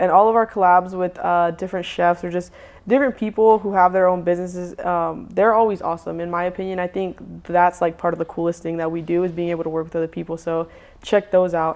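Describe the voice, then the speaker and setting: With an American accent, a woman talks at a very fast pace in a fairly low voice with fairly even intonation against a quiet background. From US South, Charlotte, North Carolina. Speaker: food truck owner. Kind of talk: casual interview chat.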